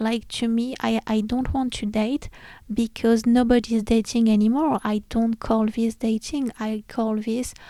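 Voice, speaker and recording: A woman speaks at a fairly slow pace in a fairly high pitch, her tone dark and mellow and her intonation monotone and flat. The sound is dry and close with no echo, on a very clean recording with a silent background. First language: not English. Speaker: podcast host. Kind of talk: casual solo podcast talk. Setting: home recording, room lit by red lamp.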